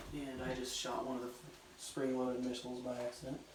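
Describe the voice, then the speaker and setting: A medium-pitched male voice with audible room echo and noticeable background noise. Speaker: hobby YouTuber. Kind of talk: casual vlog. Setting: outdoors. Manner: whispering; halting.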